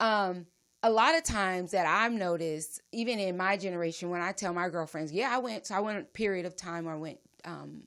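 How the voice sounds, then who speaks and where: The delivery is fairly quick and animated, with ordinary pitch variation. The background is quiet. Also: woman, medium pitch for a woman. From Los Angeles, California (Compton). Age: 40s. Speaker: podcast host. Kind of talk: casual chat.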